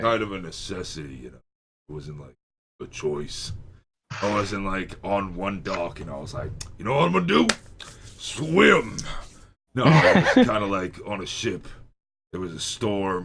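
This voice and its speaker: A raspy, put-on character voice with lively intonation and big swings in loudness. The pace is moderate, broken by long, frequent pauses. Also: man, fairly low pitch for a man. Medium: actual play. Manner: casual, offhand.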